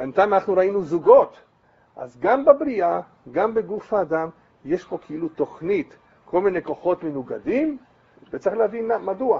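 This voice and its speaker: Animated in tone, a man with a high pitch makes very wide pitch swings and takes long, frequent pauses. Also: moderate pace. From Brazil. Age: 70s. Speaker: rabbi. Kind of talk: lecture. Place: home room.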